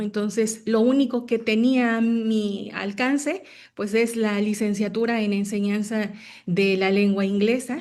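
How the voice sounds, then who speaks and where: A woman with a Mexican accent speaks slowly-ish, at a fairly slow pace, with a fairly high pitch and fairly even intonation over a quiet background. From Mexico, Hidalgo (Huasteca). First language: Nahuatl (speaking Spanish). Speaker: language teacher and school founder. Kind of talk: online talk. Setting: video call. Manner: halting, many fillers.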